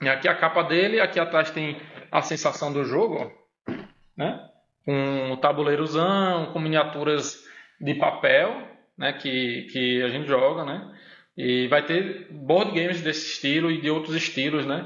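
Fairly high male voice at a fairly slow pace, ordinary pitch variation, and long, frequent pauses. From Northeast Brazil, Pernambuco and Mossoró. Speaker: university professor. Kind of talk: casual chat.

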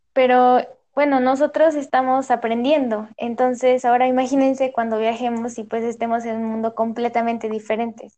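Over a quiet background, a woman with a high pitch and a dark, mellow tone speaks at a moderate pace in a monotone, flat way. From Mexico, Hidalgo. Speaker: language teaching student. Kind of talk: student podcast, semi-scripted chat.

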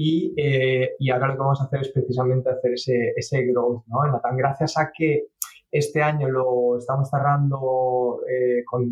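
A somewhat breathy man with a medium pitch and fairly even intonation talks at a moderate pace. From England. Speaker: startup CEO and software engineer. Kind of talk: interview. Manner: halting.

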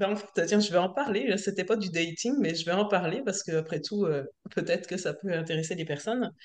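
A woman talks at a moderate pace in an ordinary speaking voice, with medium pitch and ordinary pitch variation. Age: 40s. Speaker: self-employed worker, coaching client. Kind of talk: casual chat.

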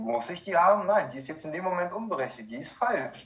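A man with fairly high pitch. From Kazakhstan, moved to Germany in 1995 as a child. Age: 30s. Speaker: recovering alcoholic sharing his life story. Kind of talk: personal testimony in interview.

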